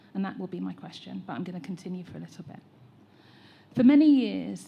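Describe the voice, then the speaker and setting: Talking at a very fast pace, a woman with an English accent swings widely in loudness. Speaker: teacher trainer. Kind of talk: public consultation comment.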